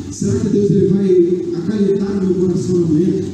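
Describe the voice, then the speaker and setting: A high male voice against noticeable background noise. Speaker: pastor. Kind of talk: sermon. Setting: church, livestreamed. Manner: earnest, pleading exhortation, warm and reassuring; rhythmic, repeating phrases for emphasis.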